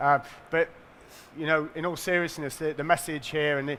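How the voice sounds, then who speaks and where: In a northern English accent, the voice has a bright, sharp tone. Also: man. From northern England. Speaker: payments company executive. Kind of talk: conference presentation.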